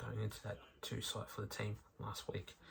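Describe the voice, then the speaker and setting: A man with an Australian accent at a moderate pace. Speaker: sports recap youtuber. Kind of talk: sports recap commentary. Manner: hesitant, many fillers.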